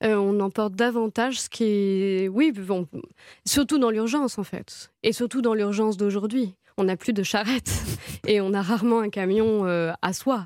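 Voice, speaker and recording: Her pitch is medium, with ordinary variation. The woman speaks at a fairly slow pace. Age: 30s. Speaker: novelist. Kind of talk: radio interview. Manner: halting, many fillers and repetitions.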